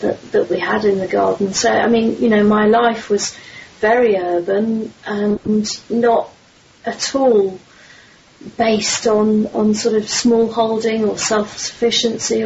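A woman with an English accent at a fairly slow pace, fairly high in pitch, with monotone, flat intonation, very even loudness and noticeable background noise. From London, southern England. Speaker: magazine publisher. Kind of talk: interview.

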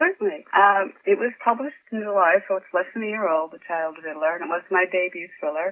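A woman with an American accent at a very fast pace, medium pitch with ordinary variation, and big swings in loudness. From Chicago, US Midwest. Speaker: author. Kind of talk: interview.

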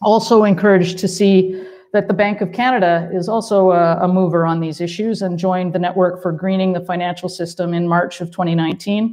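Flat and monotone in intonation, a woman of medium pitch talks at a fairly quick pace. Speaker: panel moderator. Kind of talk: moderated panel discussion. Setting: panel with audience.

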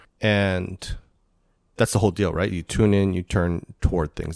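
A man's very deep, low voice at a fairly quick pace, dry and close with no echo. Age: 50s. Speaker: podcast host. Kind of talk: casual interview conversation.

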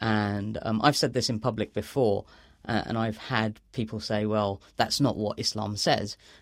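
A man speaks with a London accent. His pitch sits in the medium range. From London, England (Bangladeshi family). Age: 30s. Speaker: author. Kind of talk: interview. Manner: halting, with repetitions.

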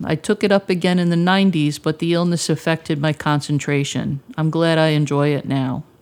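In a very clean recording with a silent background, a woman with an American accent speaks at a moderate pace in a normal speaking voice at a fairly low pitch. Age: 50s. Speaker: mental health advocate. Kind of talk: prepared testimony presentation.

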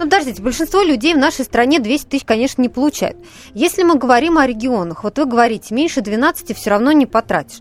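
A woman talks at a very fast pace in a high, lively voice. There is noticeable background noise. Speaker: radio host. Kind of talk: live call-in radio talk. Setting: studio.

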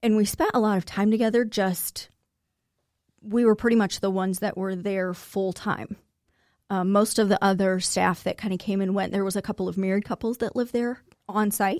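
Speaking at a fairly quick pace, a woman uses an ordinary speaking voice at a medium pitch with fairly even intonation. The sound is dry and close with no echo. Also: very clean recording, silent background. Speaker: guest sharing life story. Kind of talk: interview, personal testimony.

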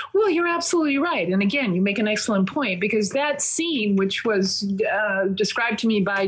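At a moderate pace, a woman with a medium pitch and lively intonation speaks over noticeable background noise. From Minnesota. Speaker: investigative reporter and author. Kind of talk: interview.

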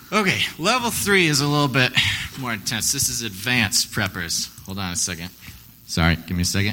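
An animated man's voice with very wide pitch swings, over noticeable background noise. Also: medium pitch for a man. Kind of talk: live stage storytelling, campfire-style spooky tale told to an audience. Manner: theatrical, hushed and teasing, building suspense with playful asides; animated, pausing for effect and cueing sound effects.

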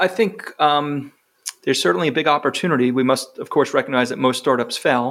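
An ordinary speaking voice from a man with an American accent, fairly high in pitch, fairly quick in pace, with lively intonation. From New York. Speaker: gastroenterologist and professor. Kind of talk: interview.

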